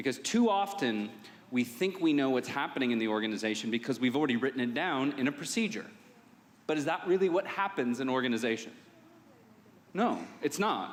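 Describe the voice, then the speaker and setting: A man speaks at a fairly quick clip in a medium pitch, his loudness very even. His pitch swings very widely, broken by long, frequent pauses. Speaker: safety conference speaker. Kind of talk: conference presentation. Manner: fast; casual, filler-heavy.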